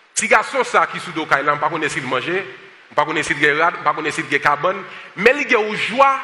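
Noticeable background noise sits under a man's voice. He speaks at a high pitch with very wide pitch swings. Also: moderate pace. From United States. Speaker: pastor and social justice activist. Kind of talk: sermon. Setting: church service with congregation, also streamed online.

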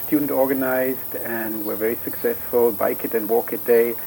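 A man talks at a middling speed while clear background noise is heard. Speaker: academic and cycling advocate. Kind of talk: radio interview.

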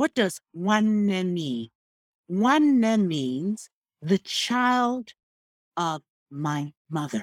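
In a very clean recording with a silent background and a dry, close sound with no echo, a woman with a Nigerian accent speaks at a very slow pace and medium pitch, making very wide pitch swings and taking long, frequent pauses. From Nigeria (Igbo). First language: Igbo. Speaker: history professor. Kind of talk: interview.

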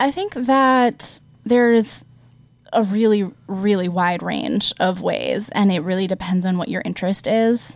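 At a fairly slow pace, a woman with an ordinary speaking voice talks with ordinary pitch variation. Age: 20s. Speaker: city council member. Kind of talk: interview. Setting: studio.

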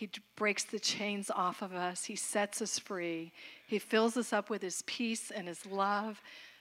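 A woman in an American accent speaks at a moderate pace with a normal speaking voice, medium pitch and fairly even intonation. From Florida. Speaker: minister's wife. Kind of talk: church greeting. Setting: church service.

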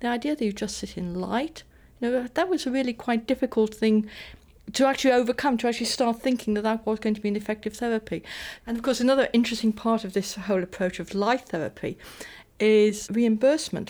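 At a very fast pace, a woman speaks with a fairly high pitch and ordinary pitch variation in a very clean recording with a silent background. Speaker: history professor.

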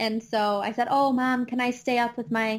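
A woman with a Midwestern accent, a fairly high pitch, monotone, flat intonation and a fairly slow pace. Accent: Midwestern twang, noticeable. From US Midwest, Chicago suburbs, Illinois. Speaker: astronomer and educator. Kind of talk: casual interview chat. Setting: remote podcast recording with microphone.

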